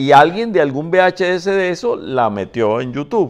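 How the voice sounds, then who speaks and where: The voice moves through very wide pitch swings at a fairly slow pace. The background is quiet. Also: man. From Venezuela. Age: old. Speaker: film director; interviewee. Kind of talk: interview. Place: home room. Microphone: lapel.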